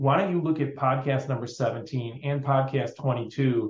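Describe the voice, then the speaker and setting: A man talks with a fairly high pitch and a somewhat breathy sound. His intonation stays fairly even. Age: 50s. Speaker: financial planner. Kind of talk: interview.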